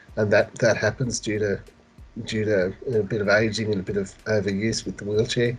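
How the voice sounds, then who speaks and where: With music in the background, a man of fairly low pitch speaks in an Australian accent. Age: 50s. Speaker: community services worker with spina bifida. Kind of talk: interview. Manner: halting.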